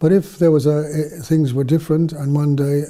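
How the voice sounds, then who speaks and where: A man's fairly high, somewhat breathy voice with a southern English accent, dark and mellow in tone, at a fairly quick pace. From southern England, near London. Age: 70s. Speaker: missionary priest. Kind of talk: interview storytelling. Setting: studio. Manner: halting, many fillers.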